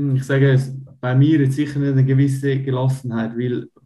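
A man speaks in a somewhat breathy way with a dark, mellow tone. His intonation stays monotone and flat. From Switzerland, canton of Uri. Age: 30s. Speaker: Swiss wrestler. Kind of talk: interview.

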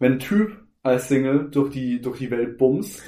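Pitched at a medium level, a man talks with a dark, mellow tone. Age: 20s. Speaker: podcast co-host. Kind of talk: casual chat.

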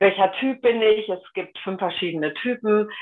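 A woman with an unremarkable speaking voice and ordinary pitch variation. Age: 60s. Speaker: human design coach and web copywriter. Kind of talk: interview.

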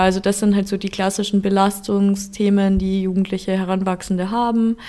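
Noticeable background noise sits behind the recording. A woman speaks over it at a medium pitch and a fairly quick pace. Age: 20s. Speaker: psychologist and youth helpline counsellor. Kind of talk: interview.

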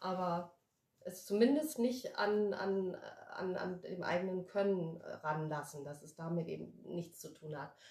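A woman speaks slowly-ish, at a fairly slow pace, with lively intonation and a somewhat breathy voice. Room echo is audible. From Germany, Wiesbaden (Hesse) then Addis Ababa. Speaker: actress and life coach. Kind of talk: casual chat.

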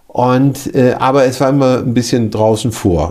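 Dark, mellow tone from a man at medium pitch, with ordinary pitch variation. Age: 50s. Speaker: care home director. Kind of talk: interview.

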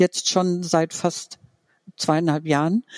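The sound is dry and close with no echo as a woman speaks at a fairly low pitch. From Franconia, Germany. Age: 50s. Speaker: podcast guest sharing coming-out story. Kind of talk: personal testimony interview. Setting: online video call.

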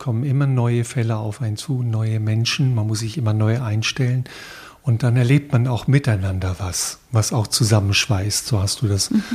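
A man with a somewhat breathy, medium-pitched voice speaks at a fairly slow pace with fairly even intonation. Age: 60s. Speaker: podcast interviewer, long-time hospice volunteer. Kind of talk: interview.

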